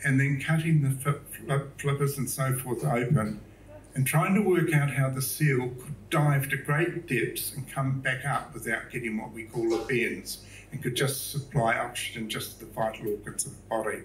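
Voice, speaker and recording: A somewhat breathy man with a medium pitch speaks at a moderate pace, with ordinary pitch variation and big swings in loudness. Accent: New Zealand. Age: 70s. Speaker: public speaker, artist. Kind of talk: talk to a live audience. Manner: casual, hesitant with fillers.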